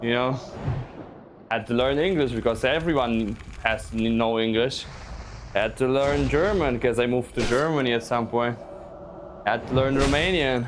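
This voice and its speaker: A man with a medium-pitched voice talks at a moderate pace with ordinary pitch variation, very even loudness, and long, frequent pauses over noticeable background noise. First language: Russian. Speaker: gaming streamer. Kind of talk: live stream chat. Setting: live stream while playing a game. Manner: halting, repeats words.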